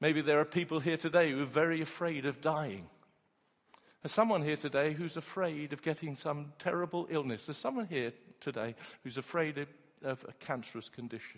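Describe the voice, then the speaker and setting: Speaking at a fairly quick pace in a normal speaking voice, a man uses ordinary pitch variation. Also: fairly high pitch for a man. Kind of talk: sermon. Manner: warm, earnest, and direct, with call-and-response.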